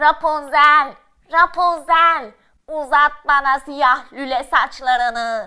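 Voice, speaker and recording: A put-on character voice, female-sounding and high-pitched, at a very slow pace. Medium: read story.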